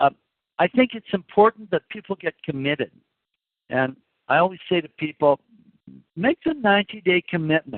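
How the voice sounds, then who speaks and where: Lively intonation marks this moderate-paced speech, which has long, frequent pauses. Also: man, high pitch for a man. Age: 60s. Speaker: supplement formulator. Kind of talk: product call talk. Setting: phone call.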